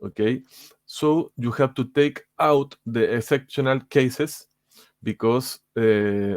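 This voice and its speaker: The speech is very slow, with ordinary pitch variation. The recording is very clean, with a silent background and a dry, close sound with no echo. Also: man, medium pitch for a man. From Chile. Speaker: game player. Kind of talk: tutorial. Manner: halting.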